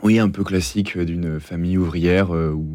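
On a very clean recording with a silent background, a man with a very deep, low pitch and a dark, mellow tone speaks at a fairly slow pace with fairly even intonation. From Normandy, France. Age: 20s. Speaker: engineering consultant and author. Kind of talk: interview testimony. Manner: halting, many hesitations and repeated words.

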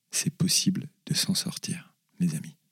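The speaker is a man. His tone is dark and mellow. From Paris region, France. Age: 40s. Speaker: charity director. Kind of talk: interview testimony.

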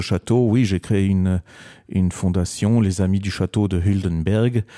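Speaking in a dark, mellow tone, a man with a fairly low pitch keeps his intonation fairly even, and the sound is dry and close with no echo. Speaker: designer. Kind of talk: radio interview. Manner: halting.

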